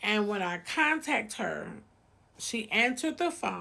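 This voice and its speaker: Her pitch swings very widely. The woman speaks at a very slow pace in a fairly high voice. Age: 50s. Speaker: cooking channel host sharing personal story. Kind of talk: personal storytelling vlog. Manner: casual, with many filler ums.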